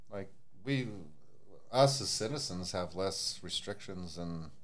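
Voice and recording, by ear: A man talks slowly with a low pitch. His intonation is lively.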